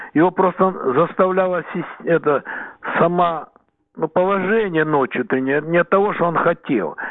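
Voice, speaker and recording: This man's voice sits high in pitch, with ordinary pitch variation. He talks at a moderate pace and leaves long, frequent pauses. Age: 70s. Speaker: weightlifting coach. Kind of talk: radio interview. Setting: phone call. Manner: halting.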